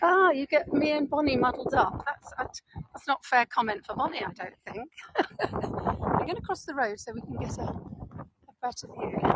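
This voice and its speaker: A woman with a northern English accent speaks in an animated tone at a moderate pace and high pitch. Her intonation is lively, with big swings in loudness. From northern England. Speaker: tour guide. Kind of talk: live virtual walking tour. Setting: outdoors. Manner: chatty, animated.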